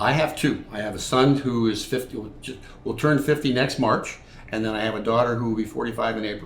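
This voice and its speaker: A man at a fairly quick pace, fairly even intonation, with audible room echo. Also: medium pitch for a man. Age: 70s. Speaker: army veteran. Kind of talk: interview.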